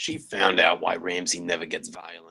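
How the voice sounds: A man puts on a character voice, low in pitch, with a bright, sharp tone and a slightly husky edge. He keeps a moderate pace with little pitch movement.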